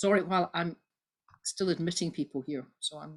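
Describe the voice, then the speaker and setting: With a Scottish accent, a woman talks at a fairly low pitch with ordinary pitch variation. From Scotland. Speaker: Baptist minister and church history lecturer. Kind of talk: online lecture. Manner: fast.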